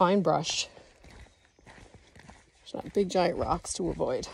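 A woman talks at a very slow pace. The sound is dry with no echo, and there is light background noise. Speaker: solo travel vlogger. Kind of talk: casual vlog chat. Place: forest. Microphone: phone near.

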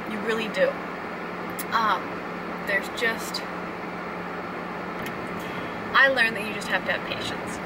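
A woman's voice against loud background noise. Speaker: parent vlogger. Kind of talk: casual vlog chat. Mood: calm, reflective. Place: car. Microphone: phone near.

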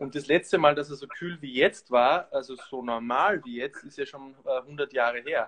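A normal speaking voice from a man, fairly high in pitch, with ordinary pitch variation. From Austria. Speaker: actor. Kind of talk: casual chat with craft demonstration.

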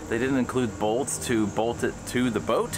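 A man's voice over music in the background. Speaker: boat owner vlogger. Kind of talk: casual vlog chat. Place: boat. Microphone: phone near.

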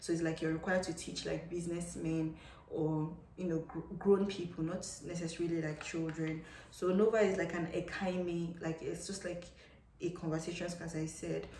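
A woman speaks with a fairly low pitch in a monotone, flat intonation. Audible room echo surrounds her voice. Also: moderate pace. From Nigeria. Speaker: English teacher and vlogger; English teacher, vlogger. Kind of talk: casual advice vlog. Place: home room. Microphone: phone near.

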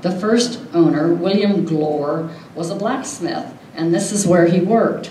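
A woman speaks at a fairly slow pace in a dark, mellow tone with fairly low pitch and ordinary pitch variation. Room echo can be heard.

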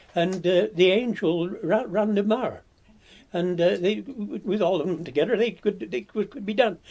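Speaking at a fairly slow pace in a Welsh Marches accent, this man has a high pitch and ordinary pitch variation. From Radnorshire, Wales. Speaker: retired blacksmith's farrier and horseman, interviewee. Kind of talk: elder life story, reminiscing in an oral history interview. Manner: slow, halting, with frequent hesitations and fillers; detailed recall of names and events.

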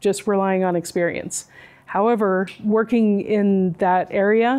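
A woman speaks in a dark, mellow tone at medium pitch, her intonation fairly even. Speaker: university department administrator; speaker. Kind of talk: personal talk to students. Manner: hesitant. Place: classroom.

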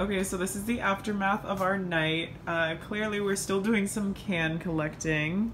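Speaking at a moderate pace with hardly any pauses, a woman uses a medium-pitched voice over noticeable background noise and audible room echo. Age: 20s. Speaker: vlogger. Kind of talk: casual vlog narration.

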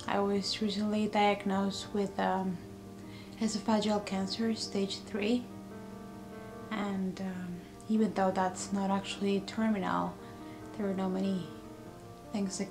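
A woman with monotone, flat intonation at a fairly slow pace, with long, frequent pauses and clear music in the background. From Mexico. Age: 30s. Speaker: cancer patient. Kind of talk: personal vlog talk to camera. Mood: sad, subdued. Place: home room. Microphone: webcam.

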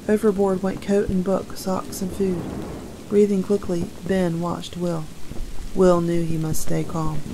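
Against noticeable background noise, a woman talks at a fairly slow pace in a flat monotone. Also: medium pitch for a woman. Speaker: audiobook narrator. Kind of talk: story read-aloud. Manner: calm, gentle storytelling pace.

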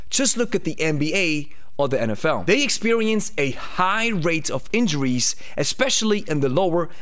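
Swinging very widely in pitch, a man speaks at a moderate pace. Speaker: fitness coach. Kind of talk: educational commentary. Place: studio. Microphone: studio mic.

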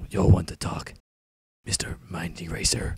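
Here a man speaks at a fairly slow pace. His pitch is very deep and low. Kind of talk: comic parody acting. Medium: comedy sketch. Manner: gruff, deadpan.

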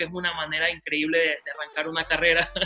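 A man talks at a fairly quick pace with a high pitch. Faint music plays behind him. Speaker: TV show host. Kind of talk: interview questions. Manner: upbeat. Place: home room. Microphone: video call.

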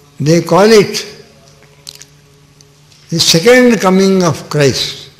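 A man with a high pitch and ordinary pitch variation speaks at a very slow pace. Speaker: spiritual teacher. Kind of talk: sermon. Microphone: podium.

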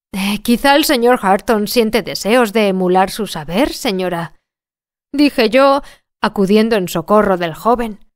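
On a very clean recording with a silent background, a woman with a fairly high pitch and lively intonation speaks at a fairly slow pace. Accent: Spanish. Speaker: audiobook narrator. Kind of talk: audiobook reading.

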